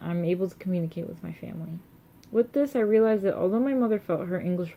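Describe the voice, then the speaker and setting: Fairly low for a woman, her dark, mellow voice moves at a fairly quick pace with ordinary pitch variation. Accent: American. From United States. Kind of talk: reading own personal essay.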